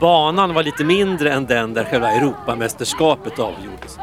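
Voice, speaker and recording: A man's medium-pitched, lively voice at a moderate pace, with music in the background. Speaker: radio reporter. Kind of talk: on-location field report. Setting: outdoors at an event.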